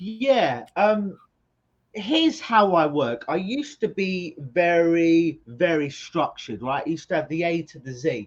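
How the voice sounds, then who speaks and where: Someone with a London accent speaks at a fairly slow pace. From England (London). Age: 40s. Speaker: hypnotherapist. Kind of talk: interview.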